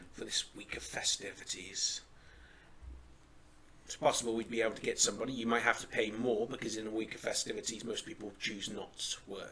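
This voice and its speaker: Using a put-on character voice, a man speaks raspily at a fairly quick pace against clear background noise. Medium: actual play. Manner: measured, dry.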